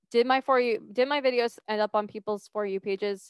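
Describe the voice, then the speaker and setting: A woman with an ordinary speaking voice talks at a moderate pace with fairly even intonation, in a dry, close sound with no echo. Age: 20s. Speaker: podcast host and mindset coach. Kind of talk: solo podcast monologue. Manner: casual, conversational.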